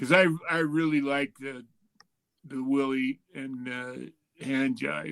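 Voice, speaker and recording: A man's fairly high pitch comes through as he talks at a fairly slow speed. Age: 60s. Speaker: former pro wrestler, podcast guest. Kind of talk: casual group podcast chat.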